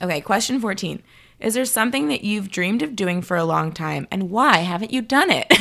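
A woman in a normal speaking voice with an American accent, medium pitch, lively intonation and a fairly quick pace. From Illinois, Chicago. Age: 30s. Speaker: comedian and advertising worker. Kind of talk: casual chat.

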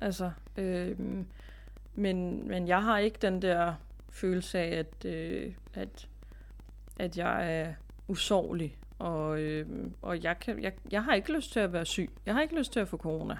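A woman talks at a very slow pace. Her pauses are long and frequent. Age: 30s. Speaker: relative of cancer patient. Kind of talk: casual interview. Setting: recording remotely from home. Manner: halting, many filler sounds.

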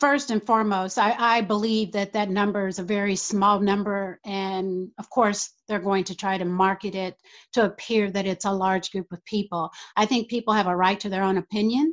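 With an American accent and a plain, everyday voice, a woman speaks at a moderate pace and medium pitch with fairly even intonation. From United States. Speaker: community activist. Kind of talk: interview.

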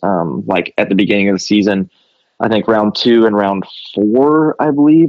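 This is a man with an unremarkable speaking voice. His pitch is fairly low and his pace fairly quick. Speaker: privateer motocross racer. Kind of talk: interview.

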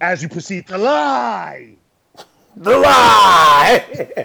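A man's put-on character voice, high in pitch and very slow in pace. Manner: spell-casting, incantation-like.

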